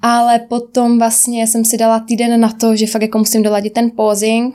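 A woman with a fairly high pitch, against noticeable background noise. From Czech Republic, Rožnov (Moravian Wallachia). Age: 20s. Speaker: personal trainer and bikini fitness champion. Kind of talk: interview.

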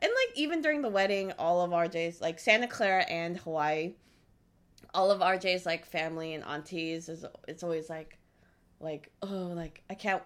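A woman with an unremarkable speaking voice, fairly low in pitch, at a moderate pace with big swings in loudness. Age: 30s. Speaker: podcast host's wife, newlywed. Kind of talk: casual chat.

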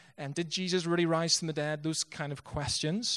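A man speaks with a Northern Irish accent. His pitch is fairly high. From Northern Ireland, Bangor. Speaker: missionary pastor. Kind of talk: sermon. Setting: church.

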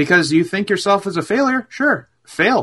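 A man's high-pitched voice, bright and sharp in tone with a slightly husky edge, lively intonation and a moderate pace.

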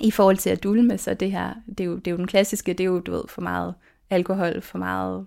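Moderate-paced speech from a woman, very cleanly recorded against a silent background. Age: 40s. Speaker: lawyer and minimalism blogger. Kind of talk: interview. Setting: her bedroom, head inside the wardrobe.

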